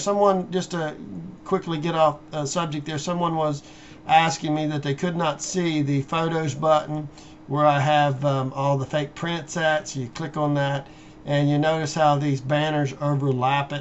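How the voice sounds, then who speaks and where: This man talks with a fairly high pitch. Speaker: finance video blogger. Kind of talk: screen-share tutorial monologue. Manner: halting, many fillers; unscripted, improvised.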